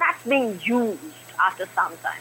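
Noticeable background noise under lively intonation. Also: woman. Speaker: caller. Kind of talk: opinion on call-in show. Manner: fast, non-stop.

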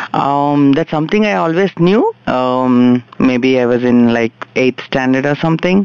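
Amid noticeable background noise, a man with a medium-pitched voice speaks at a fairly slow pace with hardly any pauses, very even loudness and ordinary pitch variation. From India, Telangana (Karimnagar district). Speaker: guest. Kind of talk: casual interview. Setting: studio. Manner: halting.

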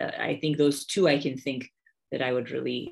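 This is a woman speaking. She talks in an American accent. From United States. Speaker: podcaster. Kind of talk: interview. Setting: library. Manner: hesitant, many fillers.

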